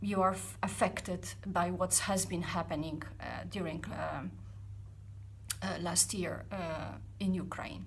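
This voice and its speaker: With a Polish accent and vocal fry, a woman at a very deep, low pitch speaks with very wide pitch swings amid audible room echo. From Poland. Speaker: startup founder vlogger. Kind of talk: personal vlog reflection. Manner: halting, many fillers; deliberately not fast.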